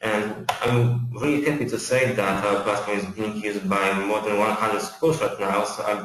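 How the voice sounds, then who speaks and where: Speaking with a Polish accent in a fairly low pitch, a man keeps a moderate pace amid noticeable background noise and audible room echo. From Poland. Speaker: account manager at software company. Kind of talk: webinar presentation. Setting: online webinar. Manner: halting, many fillers and repetitions.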